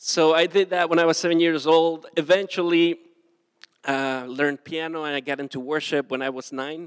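A man with a Spanish accent speaks with fairly even intonation. The recording is very clean with a silent background and a dry, close sound with no echo. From southern Mexico (Acapulco). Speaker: pastor. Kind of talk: sermon.

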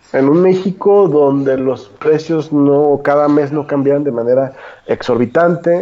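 A man talks fairly slowly with ordinary pitch variation while noticeable noise sounds in the background. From Mexico, Guadalajara. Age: 20s. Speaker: economist and political commentator. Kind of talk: casual political discussion.

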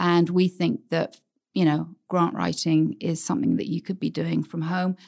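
A woman with an American accent speaks at a fairly low pitch, with vocal fry. Her pace is moderate and her pitch variation ordinary. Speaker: grant-writing business owner. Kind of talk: interview. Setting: studio.

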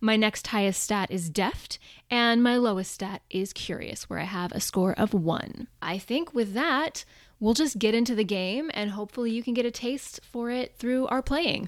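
A woman speaks at a moderate pace in an ordinary speaking voice, pitched fairly high. Her pitch varies in an ordinary way, and the recording is very clean with a silent background. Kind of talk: tabletop roleplaying actual play.

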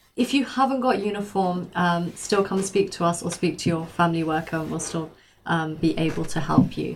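At a moderate pace, a woman speaks in an unremarkable speaking voice with fairly low pitch. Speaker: charity volunteer explaining uniform exchange. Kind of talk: explanatory radio interview. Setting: radio studio. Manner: friendly, clear.

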